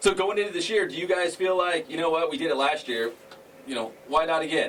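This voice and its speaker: A man talks loudly and fairly quickly in an American accent, high-pitched with lively intonation. Noticeable background noise runs underneath. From Northern California. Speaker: sports radio host. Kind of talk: sports talk interview. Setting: radio studio.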